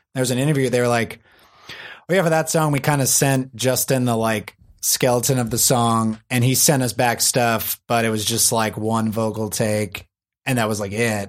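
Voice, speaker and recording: On a very clean recording with a silent background, a man talks at a moderate pace, his medium pitch in fairly even intonation. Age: 30s. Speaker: audio engineer. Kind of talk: casual chat.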